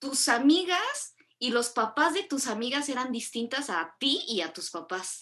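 Raising and projecting her voice, a woman speaks at a high pitch with a bright, sharp tone and very wide pitch swings. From Mexico. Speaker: podcast host. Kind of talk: casual chat.

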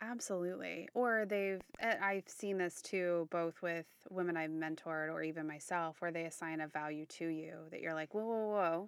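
Bright, sharp tone from a woman at a fairly low pitch, with fairly even intonation and a moderate pace. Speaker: podcast co-host. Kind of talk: casual interview conversation.

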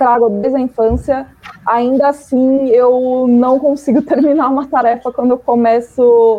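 At a fairly slow pace, a woman speaks in a high pitch with fairly even intonation. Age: 30s. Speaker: marketing professional. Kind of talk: panel discussion. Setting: video call.

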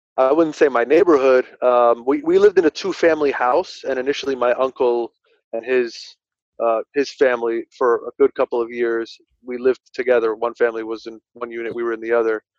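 Delivered with a New Jersey accent at a fairly quick pace, the voice has ordinary pitch variation and a dry, close sound with no echo. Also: man, medium pitch for a man. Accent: New Jersey American. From New Jersey (Linden, Union County). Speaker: attorney. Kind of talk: casual interview.

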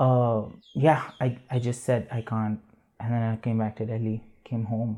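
Speaking at a fairly slow pace, a man with a dark, mellow tone and medium pitch keeps a monotone, flat intonation on a very clean recording with a silent background. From India. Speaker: illustrator. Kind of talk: interview.

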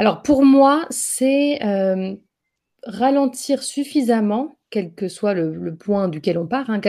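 A woman's fairly high voice with ordinary pitch variation, on a very clean recording with a silent background. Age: 30s. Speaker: entrepreneur, business founder. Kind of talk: interview conversation. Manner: halting, many fillers.

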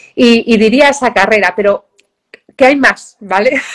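Fairly high in pitch, a woman talks in a normal speaking voice with fairly even intonation. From Galicia, Spain (Vigo). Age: 40s. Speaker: professional trail runner. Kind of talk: interview.

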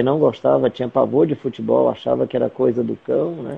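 A man speaks. His pace is fairly quick. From Fortaleza, Ceará, Brazil. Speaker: missionary. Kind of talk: interview. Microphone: mobile 4G connection.

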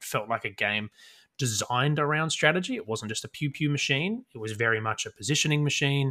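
Recorded very cleanly over a silent background, a man with an Australian accent speaks in a bright, sharp tone. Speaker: podcast co-host, tabletop gamer. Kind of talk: casual chat.

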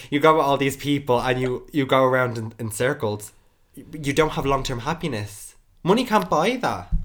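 Speaking with an Irish accent, a man uses a fairly high pitch, ordinary pitch variation and a moderate pace. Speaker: podcast host. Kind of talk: casual chat.

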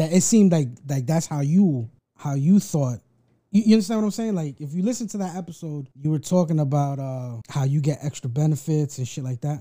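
A man's somewhat breathy, dark and mellow voice, fairly high in pitch, with lively intonation and a fairly quick pace, in a very clean recording over a silent background. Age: 30s. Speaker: podcast host. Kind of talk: casual chat.

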